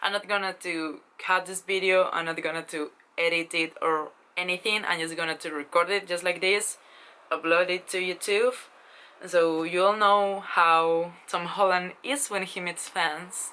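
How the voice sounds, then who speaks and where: A woman's bright, sharp tone with a Spanish accent and fairly even intonation. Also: fairly low pitch for a woman, moderate pace. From Spain. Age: 20s. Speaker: vlogger. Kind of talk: casual vlog storytelling. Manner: hesitant, with fillers.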